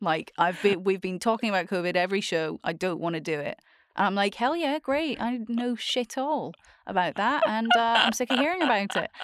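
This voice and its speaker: A woman with a Scottish accent speaks fairly quickly at a fairly high pitch, her voice making very wide pitch swings on a very clean recording with a silent background. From Scotland. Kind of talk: casual chat.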